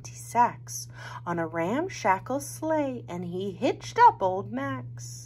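The voice reads in an unforced way.

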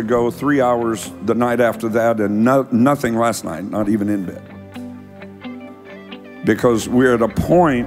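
Over clear background music, a man talks very slowly at a medium pitch with ordinary pitch variation. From United States. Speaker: preacher. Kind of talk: sermon, talk to congregation. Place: church. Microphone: handheld.

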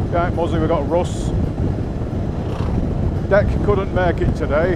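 Dry sound with no echo, under loud background noise. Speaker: motorcycle rider vlogger. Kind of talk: casual vlog commentary. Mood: relaxed, cheerful. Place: motorbike. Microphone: helmet.

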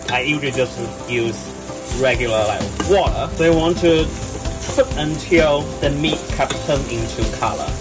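A man speaks at a moderate pace, with long, frequent pauses. Noticeable background noise is present. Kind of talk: tutorial. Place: boat. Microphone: phone near.

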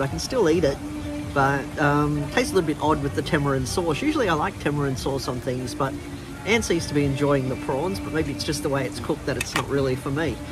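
A man talks at a fairly quick clip. Music can be clearly heard behind him. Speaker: travel vlogger. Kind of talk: casual vlog chat. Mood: relaxed. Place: cafe. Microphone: phone near.

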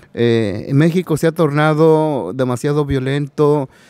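A man with an unremarkable speaking voice talks at a fairly high pitch with ordinary pitch variation, the sound dry with no echo against a quiet background. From Mexico. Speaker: migrant rights activist. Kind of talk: panel discussion. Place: hall. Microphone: podium.

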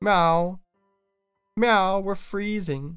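A female-sounding put-on character voice at a medium pitch, with music in the background

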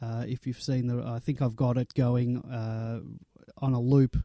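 With an Australian accent, a man talks at a moderate pace in a flat monotone, his dark, mellow tone recorded dry and close with no echo. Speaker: podcast host. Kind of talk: casual chat.

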